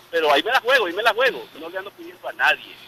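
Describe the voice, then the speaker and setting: Against noticeable background noise, a man with a Nicaraguan accent talks at a very fast pace, the sound dry and close with no echo. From Nicaragua, Granada. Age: 50s. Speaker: caller. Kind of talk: radio call-in.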